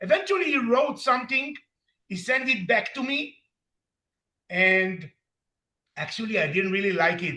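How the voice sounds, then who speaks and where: A man's raised, projected voice, bright and sharp in tone, with lively intonation. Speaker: recovery program member, story author. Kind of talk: interview.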